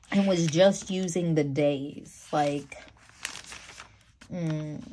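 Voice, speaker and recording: Audible room echo surrounds a very slow delivery with fairly even intonation. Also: woman, very deep, low pitch for a woman. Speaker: planner vlogger. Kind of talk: casual chat. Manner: hesitant, many fillers.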